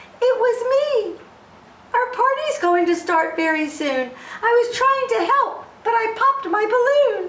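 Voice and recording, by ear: A woman performs a put-on character voice at an extremely high pitch. She sounds shaky and keeps a moderate pace.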